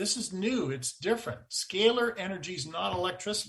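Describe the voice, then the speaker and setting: A man with a high pitch and a bright, sharp tone projects his raised voice at a moderate pace. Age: 60s. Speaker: energy researcher. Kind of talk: interview.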